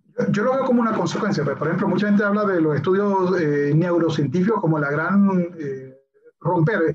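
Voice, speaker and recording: High male voice, ordinary pitch variation, room echo clearly audible. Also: moderate pace. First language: English (speaking Spanish). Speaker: science communicator and YouTuber. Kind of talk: casual chat.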